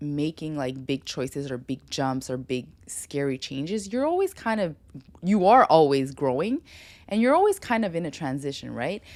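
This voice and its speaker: On a very clean recording with a silent background, the voice sounds animated and swings very widely in pitch. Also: woman. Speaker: lifestyle podcast host. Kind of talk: solo monologue to camera. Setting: home studio. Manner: fast.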